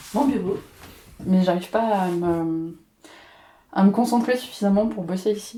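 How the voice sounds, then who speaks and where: Using a dark, mellow tone, a woman speaks at a medium pitch and a fairly slow pace, with ordinary pitch variation and long, frequent pauses. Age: 20s. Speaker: arts consultant. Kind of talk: casual interview. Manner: hesitant, many fillers.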